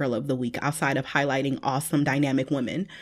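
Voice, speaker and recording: Speaking at a fairly quick pace in an animated tone, a woman comes through on a very clean recording with a silent background. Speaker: podcast co-host. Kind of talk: casual chat. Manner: animated, laughing.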